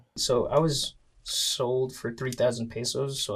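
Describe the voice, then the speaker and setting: This man has a medium pitch and sounds somewhat breathy. His pitch varies in an ordinary way. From Philippines. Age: 20s. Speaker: rapper. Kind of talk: documentary interview.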